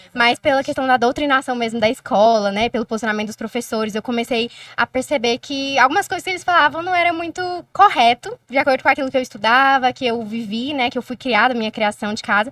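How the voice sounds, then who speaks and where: Speaking at a very fast pace, a woman's high-pitched voice sounds dry and close with no echo, on a very clean recording with a silent background. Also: ordinary pitch variation. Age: 20s. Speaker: law student and youth activist. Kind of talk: casual interview.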